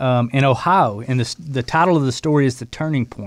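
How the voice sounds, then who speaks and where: In a very clean recording with a silent background, a man talks at medium pitch with ordinary pitch variation and an ordinary speaking voice. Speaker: running program co-host. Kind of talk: casual chat.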